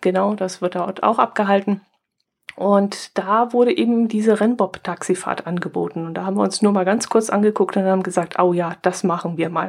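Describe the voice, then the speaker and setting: Here is a normal speaking voice at a moderate pace. The pitch varies in an ordinary way. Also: woman, medium pitch for a woman. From southern Germany near Austrian and Swiss border. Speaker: podcast co-host. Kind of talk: casual chat.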